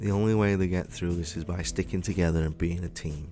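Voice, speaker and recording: Music plays in the background. A man speaks in a very deep, low pitch with ordinary pitch variation. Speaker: gaming YouTuber. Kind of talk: casual talk to camera. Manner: rambling, hesitant.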